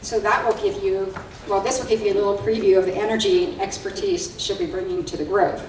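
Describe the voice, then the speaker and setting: Over noticeable background noise, a woman talks at a very fast pace. Her fairly high pitch swings very widely. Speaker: nonprofit alliance CEO. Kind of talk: event host announcements and speaker introduction.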